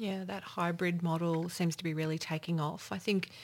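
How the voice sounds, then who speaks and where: A woman with an Australian accent speaks at a fairly quick pace. Her pitch is fairly low, and her intonation stays monotone and flat. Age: 50s. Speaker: regional business development official. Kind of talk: panel discussion.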